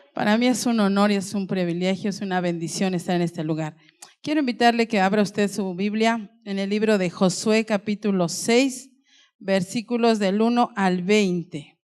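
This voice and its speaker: At a moderate pace, a woman with a medium pitch uses a normal speaking voice, her pitch varying in an ordinary way. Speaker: pastor. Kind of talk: sermon.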